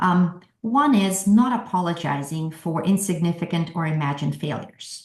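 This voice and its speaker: A woman talks in a somewhat breathy voice at a fairly low pitch. She keeps a moderate pace with ordinary pitch variation. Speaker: workshop presenter. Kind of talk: virtual workshop presentation.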